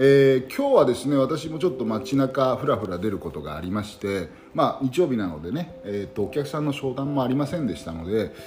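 A man with a medium pitch talks at a fairly quick pace with hardly any pauses and very wide pitch swings. Noticeable background noise is present. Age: 50s. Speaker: podcast host and business owner. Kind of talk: solo monologue, casual. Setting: late night recording. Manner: hesitant, many fillers.

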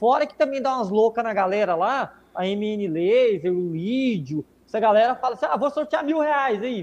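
A man at a high pitch and a moderate pace, with hardly any pauses. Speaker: visual communication business owner. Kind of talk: casual chat.

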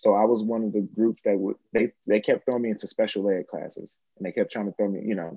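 Speaking at a very fast pace with hardly any pauses, a man with an American accent uses a fairly low pitch. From US Midwest. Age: 30s. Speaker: actor and spiritual seeker. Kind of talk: casual chat. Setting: video call. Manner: animated.

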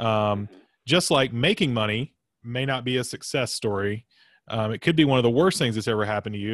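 With an American accent, a man speaks in an unremarkable speaking voice at a medium pitch, using ordinary pitch variation and a moderate pace. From US South. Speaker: podcast host. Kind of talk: casual interview chat.

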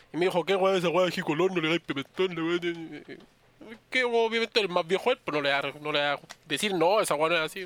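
A man speaks very fast in a Chilean accent. His pitch is high, with ordinary variation. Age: 20s. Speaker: podcast co-host. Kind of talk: casual chat.

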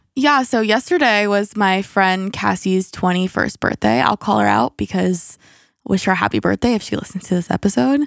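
In an American accent, the speaker's animated tone and lively intonation come at a moderate pace with very even loudness, on a very clean, silent recording with dry, close sound and no echo. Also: woman, medium pitch for a woman. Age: 20s. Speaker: podcast co-host. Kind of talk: casual chat. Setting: home basement.

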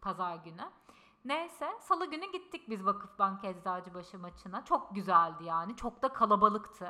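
At a moderate pace, a woman with a medium pitch and a bright, sharp tone speaks with lively intonation and big swings in loudness. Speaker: podcast co-host. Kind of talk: casual chat. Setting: in-person shared microphone. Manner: loud, straining voice. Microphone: picks her up quieter than co-host.

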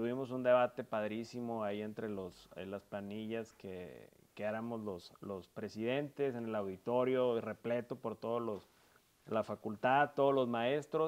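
A man's normal speaking voice at medium pitch, with fairly even intonation and a fairly slow pace, on a very clean recording with a silent background. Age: 30s. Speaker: politician. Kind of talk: interview. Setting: furniture store.

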